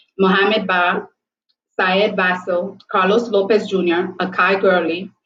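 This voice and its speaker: Speaking in a Spanish accent, a woman keeps a monotone, flat intonation at a medium pitch. Her pace is fairly slow. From New York City, Washington Heights. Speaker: activist podcast co-host. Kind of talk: casual chat. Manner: halting, many fillers.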